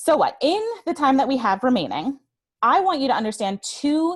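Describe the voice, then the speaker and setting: Against a quiet background, a woman with a high pitch talks at a fairly slow pace with very wide pitch swings. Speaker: certified trainer and webinar speaker. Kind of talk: webinar presentation; guided breathing exercise. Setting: online webinar.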